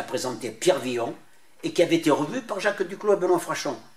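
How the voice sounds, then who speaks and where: Lively intonation at a fairly quick pace. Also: man. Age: 80s+. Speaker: former resistance fighter. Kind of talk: interview. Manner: halting.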